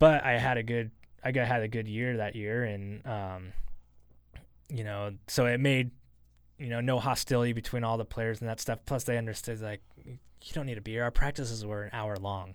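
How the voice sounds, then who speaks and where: In a very clean recording with a silent background, a man with an unremarkable speaking voice and a medium pitch talks at a moderate pace with fairly even intonation. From Idaho, Boise area (born in Portland, Oregon). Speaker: former football kicker. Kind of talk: casual interview. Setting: studio.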